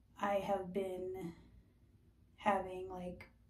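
Heard with audible room echo, a woman speaks at a fairly low pitch in a somewhat breathy voice. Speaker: skincare vlogger. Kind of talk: casual vlog chat. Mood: candid, reflective. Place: bathroom. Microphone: phone near.

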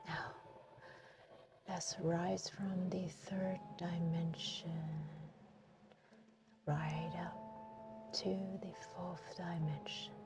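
A soft-spoken woman at a very slow pace, calm in tone, with long, frequent pauses and music in the background. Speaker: hypnotist. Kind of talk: guided hypnosis session. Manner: soft-spoken, calm. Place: car. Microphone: phone near.

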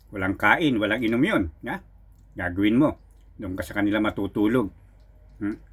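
At a moderate pace, a man with a fairly low pitch speaks with ordinary pitch variation and long, frequent pauses. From Philippines, Rizal province. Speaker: folk healer and card reader. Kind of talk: spoken tutorial monologue. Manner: casual, filler-heavy.

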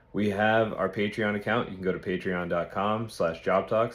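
A man's very slow speech. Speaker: podcast host. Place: home room. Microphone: phone near.

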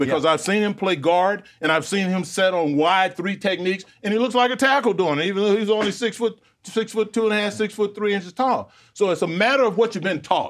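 A man with a high pitch talks fairly quickly, his pitch varying in an ordinary way. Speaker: sports show analyst. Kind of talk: commentary. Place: studio. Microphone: lapel.

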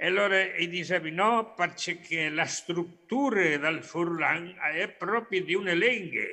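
Against a quiet background, a man with a Spanish accent speaks very slowly with hardly any pauses, his high-pitched voice bright and sharp and his loudness very even. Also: ordinary pitch variation. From Argentina, Córdoba province. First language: Spanish (speaking Italian). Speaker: professor, Friulian emigrant community member; remote guest. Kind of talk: remote talk. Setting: video call from Argentina. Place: home room. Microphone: video call.

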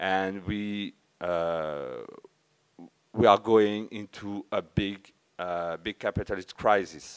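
Against a quiet background, a man with a French accent speaks in a fairly low voice with fairly even intonation. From France (Verdun area, east); France. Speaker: conference speaker, community member; conference speaker. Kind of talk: conference talk. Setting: stage with audience. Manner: halting. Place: hall.

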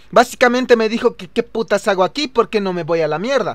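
Here a man talks at a fairly quick pace with ordinary pitch variation. The background is quiet and the sound is dry with no echo. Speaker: gamer streamer. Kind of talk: gameplay commentary. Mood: joking, sarcastic. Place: home room. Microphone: studio mic.

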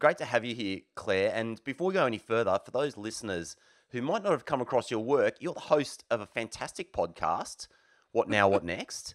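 A man speaks at a moderate pace with medium pitch and very wide pitch swings. The recording is very clean with a silent background and a dry, close sound with no echo. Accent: Australian. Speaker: podcast co-host. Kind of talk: casual podcast chat. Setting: studio.

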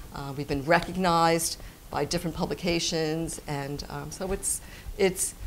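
Over light background noise, a woman speaks at a moderate pace in a fairly low pitch with vocal fry and monotone, flat intonation. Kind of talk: interview answer. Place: shop.

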